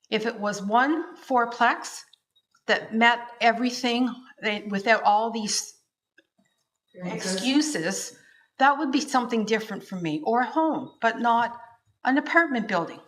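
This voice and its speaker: A woman with a Canadian accent speaks fairly slowly in a fairly high voice. Her intonation is lively, and she takes long, frequent pauses. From Smiths Falls, Ontario, Canada. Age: 60s. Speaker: resident objecting at public meeting. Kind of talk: public meeting objection.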